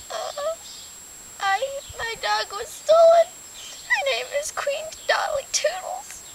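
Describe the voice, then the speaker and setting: A put-on character voice at an extremely high pitch, very slow pace and long, frequent pauses, over light background noise. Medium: short film.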